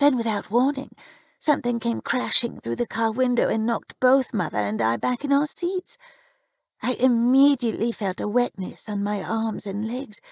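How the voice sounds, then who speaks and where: Here a woman uses a put-on character voice. Her pitch is fairly high and her pace moderate. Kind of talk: horror narration. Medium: read story.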